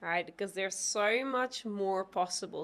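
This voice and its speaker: A woman speaks at a moderate pace with a non-native accent. Her pitch is medium. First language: not English. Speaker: tantra teacher. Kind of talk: interview.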